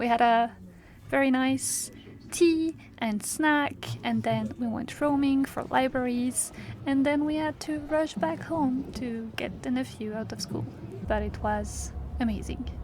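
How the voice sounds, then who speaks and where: With a non-native accent, a woman speaks at a fairly slow pace. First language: not English. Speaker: vlogger and illustrator. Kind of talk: vlog narration. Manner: casual, with fillers.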